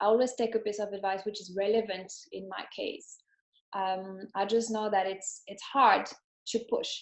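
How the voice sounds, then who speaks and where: A moderate pace, a French accent and monotone, flat intonation. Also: woman. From France. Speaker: entrepreneur. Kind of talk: interview. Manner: halting.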